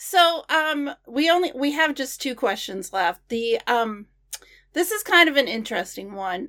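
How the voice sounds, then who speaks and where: Very wide pitch swings in a raised, projected voice, bright and sharp in tone, at a fairly slow pace. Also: woman, high pitch for a woman. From Maine, US. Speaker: podcast host. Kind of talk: scripted podcast outro; interview.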